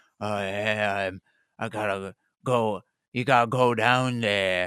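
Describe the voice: Using a put-on character voice, a man speaks at a fairly low pitch and fairly slow pace with fairly even intonation, the sound dry and close with no echo in a very clean recording with a silent background.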